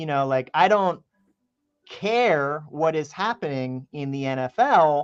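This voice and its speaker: A man's fairly high voice with a slight Philadelphia accent at a very slow pace, dry and close with no echo. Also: lively intonation. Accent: Philadelphia accent, mild version. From Philadelphia, US East Coast. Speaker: musician. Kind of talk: radio interview. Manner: loud, projecting.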